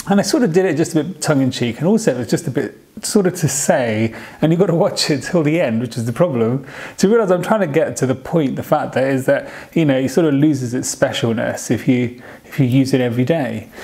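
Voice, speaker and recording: At a very fast pace, a man with a British accent speaks in a fairly high pitch with lively intonation. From United Kingdom. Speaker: vlogger. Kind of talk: casual vlog talk. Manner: halting.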